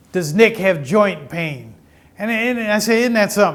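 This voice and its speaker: A man at a moderate pace, ordinary pitch variation and audible room echo. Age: 70s. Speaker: pastor. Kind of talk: sermon; interview.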